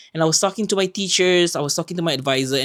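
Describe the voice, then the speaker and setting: With a Malaysian accent, a man talks at a very fast pace, his pitch swinging very widely. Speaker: podcast co-host. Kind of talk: casual chat.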